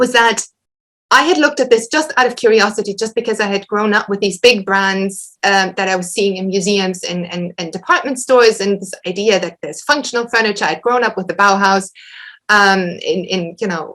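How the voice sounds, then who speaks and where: With a German accent, a woman speaks at a fairly quick pace. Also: medium pitch for a woman, ordinary pitch variation. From western Germany. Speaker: historian, academic lecturer. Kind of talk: Q&A after an academic lecture. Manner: halting, many repetitions and fillers.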